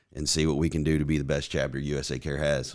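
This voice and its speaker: A man with an American accent and a very deep, low pitch, at a fairly quick pace, in a very clean recording with a silent background. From southern Indiana (Jeffersonville). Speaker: nonprofit executive director, Marine veteran. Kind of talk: podcast interview.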